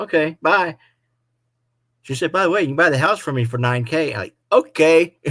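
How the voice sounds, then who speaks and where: At a moderate pace, a man with an ordinary speaking voice talks in a fairly high pitch with lively intonation. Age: 60s. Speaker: motorcycle vlogger. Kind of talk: live stream chat.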